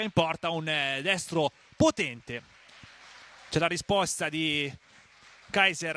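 With lively intonation, a man speaks in a bright, sharp tone, the sound dry and close with no echo. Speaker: match commentator. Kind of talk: live sports commentary. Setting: stadium.

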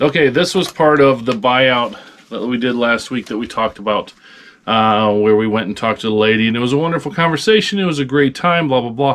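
A man at a fairly quick pace with lively intonation. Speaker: online reseller. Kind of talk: casual vlog chat. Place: home room. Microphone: camera far.

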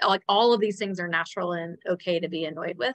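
With fairly even intonation, a woman talks at a fairly quick pace. Her pitch is fairly low, and her tone fairly bright.

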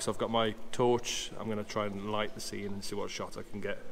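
Music plays in the background as a man talks at a moderate pace with monotone, flat intonation. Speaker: photographer vlogger. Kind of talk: casual vlog chat. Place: tunnel cave. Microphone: phone near.

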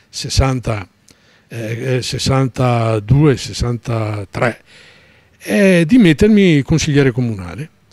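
Somewhat breathy and with lively intonation, a man's voice comes through dry with no echo against a quiet background. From Veneto, Venice area; Veneto. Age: 70s. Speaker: retired trade unionist and writer. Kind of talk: interview, personal life story; interview answer. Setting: studio. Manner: halting, many fillers. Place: studio. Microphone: handheld.

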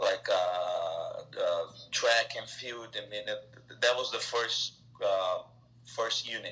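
Faint music plays behind a man who speaks very slowly in a Brazilian accent. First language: Portuguese. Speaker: soccer technical director; interview guest. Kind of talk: interview answer. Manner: hesitant, many filler words. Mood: friendly, reminiscing. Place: home room. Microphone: video call.

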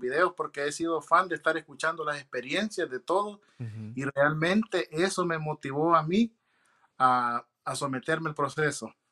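The tone is bright and sharp, with ordinary pitch variation. The background is quiet. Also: man. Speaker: naturalized citizen sharing interview experience. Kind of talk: interview, casual testimony. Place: home room. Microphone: video call.

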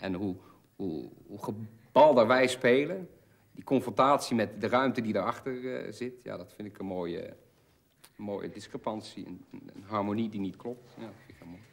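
A man speaks at a moderate pace with a fairly low pitch, ordinary pitch variation, and vocal fry.

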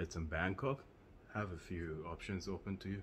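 Faint music plays behind a man whose intonation stays fairly even. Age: 30s. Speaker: vlogger. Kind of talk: casual vlog. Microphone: phone; phone near.

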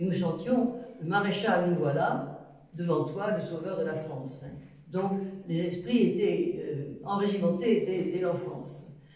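A woman speaks at a very slow pace and fairly low pitch. Her voice has audible room echo over a quiet background. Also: ordinary pitch variation. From France. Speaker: witness, daughter of a deported resistance member. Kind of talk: testimony. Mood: calm, reflective. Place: home room.

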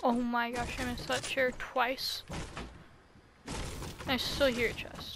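Amid audible room echo, a high-pitched woman speaks at a fairly slow pace with long, frequent pauses and monotone, flat intonation. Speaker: gaming streamer. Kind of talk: gameplay commentary. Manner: deadpan.

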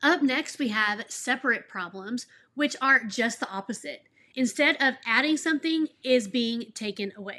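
A woman speaks at a moderate pace with an American accent. Her high voice has a bright, sharp tone and lively intonation. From Texas. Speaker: elementary school teacher, education YouTuber. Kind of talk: tutorial. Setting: home office. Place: home room.

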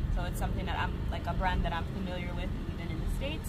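Loud background noise sits behind a woman speaking. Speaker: travel vlogger. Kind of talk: casual vlog chat. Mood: happy, excited. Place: car. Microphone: camera far.

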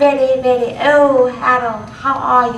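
A woman puts on a character voice, high in pitch and flat, monotone in intonation. There is slight echo around her. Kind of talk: clipped, upper-class.

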